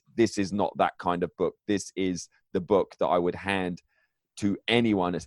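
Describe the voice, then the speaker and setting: A man's fairly low-pitched voice in a monotone, flat intonation. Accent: English. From England. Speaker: author and mindset coach. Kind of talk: interview. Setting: home basement.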